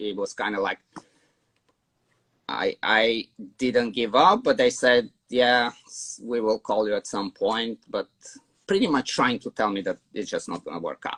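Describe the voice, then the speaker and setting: Fairly slow speech from a man with a Bulgarian accent, lively intonation, and a dry, close sound with no echo. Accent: foreign accent, Bulgarian. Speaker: dog trainer. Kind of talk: interview storytelling. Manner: casual, with many fillers and repeats.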